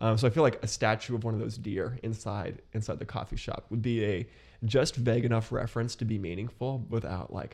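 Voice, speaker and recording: Talking at a fairly quick pace with an American accent, a man of medium pitch shows vocal fry and ordinary pitch variation. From US Midwest, Columbus, Ohio. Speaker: podcast guest, young professional. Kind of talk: casual chat.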